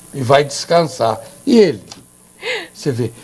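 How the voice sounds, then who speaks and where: Over noticeable background noise, a man talks at a fairly slow pace. His intonation is lively. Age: 80s+. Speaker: TV and radio host. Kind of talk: casual interview chat.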